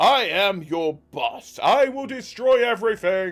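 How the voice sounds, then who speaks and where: This is a put-on character voice with a fairly high pitch. The delivery moves at a fairly slow pace. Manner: menacing.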